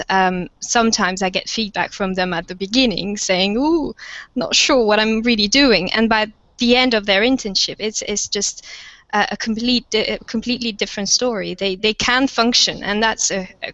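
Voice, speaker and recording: A woman with a French accent and a fairly high pitch, at a moderate pace with fairly even intonation. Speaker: university lecturer of French. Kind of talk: panel webinar discussion. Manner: hesitant, many fillers.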